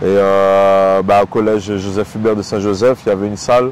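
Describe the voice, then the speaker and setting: Over noticeable background noise, a man talks at a moderate pace with fairly low pitch and fairly even intonation. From Réunion. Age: 30s. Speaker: professional MMA fighter. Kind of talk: interview. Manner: hesitant, many fillers.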